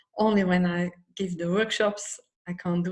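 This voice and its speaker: A woman speaks with a Dutch accent at a moderate pace. Her voice is somewhat breathy, with fairly even intonation. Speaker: psychology method instructor. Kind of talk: personal talk in live stream. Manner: halting.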